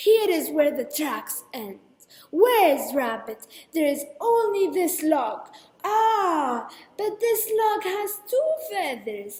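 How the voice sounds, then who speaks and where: Using a put-on character voice, a woman speaks very slowly at an extremely high pitch, with very wide pitch swings. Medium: read story. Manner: boastful, determined.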